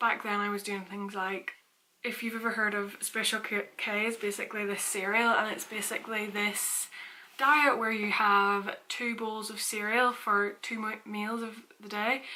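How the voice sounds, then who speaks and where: With a Northern Irish accent, a woman speaks at a fairly high pitch in a monotone, flat intonation at a moderate pace. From Northern Ireland, Portstewart. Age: 20s. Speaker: fitness vlogger. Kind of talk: casual vlog talk.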